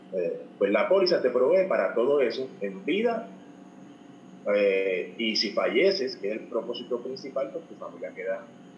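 A man talks at a fairly slow pace, with audible echo from the room. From Puerto Rico. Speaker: financial advisor. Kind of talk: interview.

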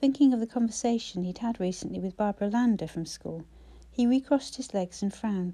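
The pitch moves in an ordinary way as the speaker reads aloud in a natural voice.

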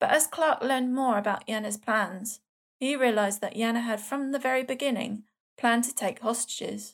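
A woman with a plain, everyday voice, a fairly high pitch, ordinary pitch variation and a fairly quick pace, on a very clean recording with a silent background. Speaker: true crime podcast host. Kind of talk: casual chat.

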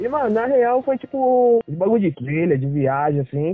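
A man is speaking. His intonation is lively. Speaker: traveler. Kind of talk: casual chat. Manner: animated, laughing often.

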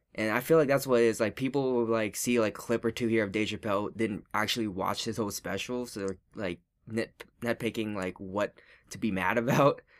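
A man with an unremarkable speaking voice talks at a fairly quick pace in a medium pitch and fairly even intonation, in a very clean recording with a silent background. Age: 20s. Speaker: podcast co-host. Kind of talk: casual chat.

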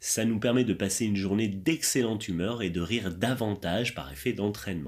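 Very cleanly recorded against a silent background, an ordinary speaking voice moves at a moderate pace with lively intonation. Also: man. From France. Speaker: laughter yoga teacher. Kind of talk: interview.

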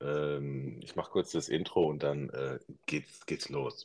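Very deep and low, a man's voice stays monotone and flat throughout. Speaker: podcast host. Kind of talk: casual interview. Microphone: phone without AirPods.

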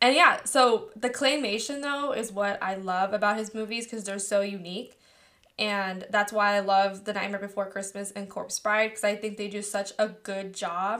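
A woman in a Californian accent, bright and sharp in tone, at a medium pitch, with fairly even intonation and a moderate pace. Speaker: podcast host. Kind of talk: casual chat.

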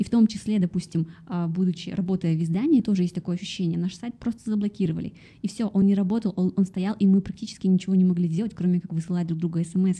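A woman talks very fast in a medium pitch with fairly even intonation, her tone dark, mellow and somewhat breathy. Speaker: podcast host and interviewer. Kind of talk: interview conversation.

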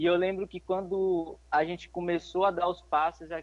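A man speaks in a high pitch. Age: 20s. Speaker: young missionary. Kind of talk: interview testimony; exhortation to listeners.

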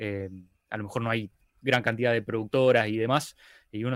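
The man talks at a very fast pace with fairly even intonation. His pitch sits in the medium range. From Argentina, Rosario. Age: 30s. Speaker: video editor and YouTuber. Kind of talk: casual interview chat.

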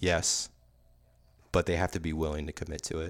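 A man talks at a fairly quick pace, recorded very cleanly against a silent background. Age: 40s. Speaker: podcast host and first-time author. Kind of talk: casual interview chat.

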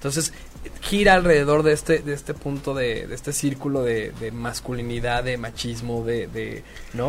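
A man speaks at a moderate speed while noticeable background noise fills the recording. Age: 30s. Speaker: artist. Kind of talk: casual chat.

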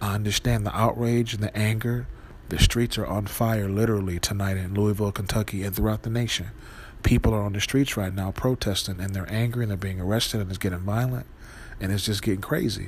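A man with an American accent talks at a very fast pace in a fairly low, somewhat breathy voice with fairly even intonation. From Wisconsin. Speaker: podcast host. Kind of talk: monologue.

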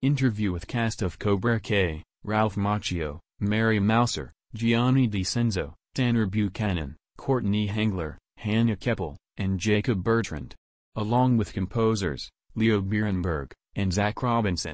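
Against a quiet background, a man puts on a character voice pitched fairly low. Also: moderate pace. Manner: mechanical announcer.

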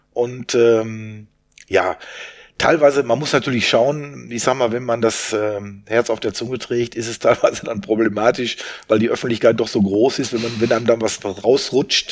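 A man speaks at a medium pitch with fairly even intonation. His pace is moderate, and he has a plain, everyday voice. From Westphalia, Germany (Soest). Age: 60s. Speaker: event organizer. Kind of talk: casual interview.

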